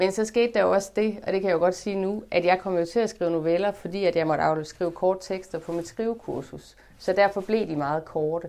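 A woman's dark, mellow voice at medium pitch, fairly quick with hardly any pauses and ordinary pitch variation. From northern Jutland, Denmark (Limfjord area). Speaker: author and translator. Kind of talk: interview conversation at a library event.

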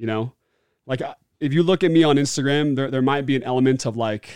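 Its pitch varying in an ordinary way, the clip presents a plain, everyday voice. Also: man. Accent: American. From Oregon, US Pacific Northwest. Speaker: former NFL player and entrepreneur. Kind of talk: casual interview.

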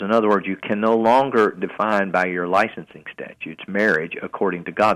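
Here a man speaks with a Southern US accent at a moderate pace. His pitch is fairly low. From US South, Chattanooga area. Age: 60s. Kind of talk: radio interview.

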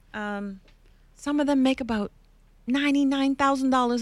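This is a woman speaking with a high pitch. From Canada. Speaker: podcast host, workplace commentator. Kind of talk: interview podcast.

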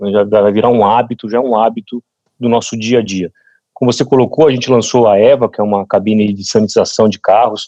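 A dark, mellow tone at a fairly quick pace, with fairly even intonation and a dry, close sound with no echo. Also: man, medium pitch for a man. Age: 40s. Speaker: sales executive. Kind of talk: podcast panel discussion. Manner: halting, many repetitions.

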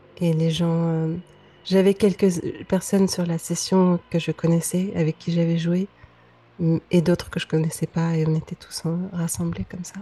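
A woman with a fairly low pitch and a dark, mellow, somewhat breathy tone speaks in a monotone, flat way at a fairly slow pace, with long, frequent pauses. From Lebanon (Beirut). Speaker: singer-songwriter. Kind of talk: interview. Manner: hesitant, many fillers.

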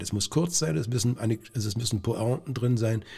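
A man with an unremarkable speaking voice talks at a fairly quick pace, at medium pitch and with ordinary pitch variation. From Brandenburg, Lower Lusatia (Lieberose near Cottbus). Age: 60s. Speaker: stage actor. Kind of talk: casual interview.

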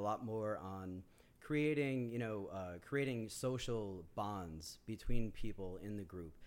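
With an American accent and an ordinary speaking voice, a man speaks fairly slowly with a fairly low pitch and lively intonation. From Yonkers, New York. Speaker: community organizer. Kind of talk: casual chat.

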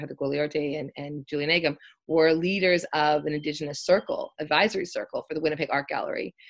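On a very clean recording with a silent background, a woman with a Canadian accent talks at a fairly quick pace in a very deep, low pitch with fairly even intonation. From Canada, West Coast (Richmond, near Vancouver). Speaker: art history professor. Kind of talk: interview conversation.

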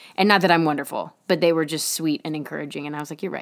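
A woman with a plain, everyday voice and a fairly low pitch is heard on a very clean recording with a silent background. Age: 20s. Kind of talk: casual faith talk monologue.

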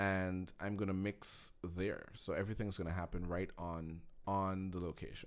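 A man speaks at a moderate pace in a very deep, low voice. His intonation stays flat and monotone. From Guyana, Georgetown. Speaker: film student and cinematographer. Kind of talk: casual interview chat. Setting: livestreamed podcast studio.

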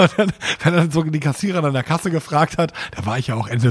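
A man rattles off his words very quickly, his pitch rising and falling in an ordinary way. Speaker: podcast co-host. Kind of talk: casual chat.

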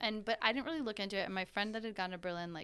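The voice has a bright, sharp, animated tone. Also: woman. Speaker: podcast host. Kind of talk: casual chat.

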